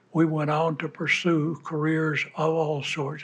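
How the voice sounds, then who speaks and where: A man speaks at a fairly slow pace with fairly high pitch. Audible room echo surrounds his voice. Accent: Southern US. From US South, Georgia. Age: 80s+. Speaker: war veteran. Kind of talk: speech to an audience. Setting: stage with audience. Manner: halting.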